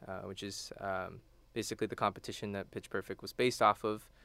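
On a very clean recording with a silent background, a man with an American accent uses a plain, everyday voice at a fairly low pitch with fairly even intonation. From Texas, Houston. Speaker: college student and a cappella singer. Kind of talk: radio interview. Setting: radio studio.

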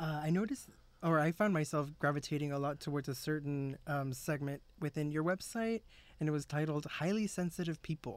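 A man's fairly high voice at a fairly quick pace, ordinary pitch variation, in a very clean recording with a silent background. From South Texas. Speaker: radio host. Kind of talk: radio interview. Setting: studio.

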